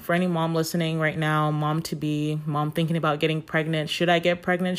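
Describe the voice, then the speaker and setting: The recording is very clean, with a silent background. A woman speaks at a very deep, low pitch. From Nigeria. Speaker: critical care nurse and podcast host. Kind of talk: casual solo talk. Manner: hesitant, many fillers.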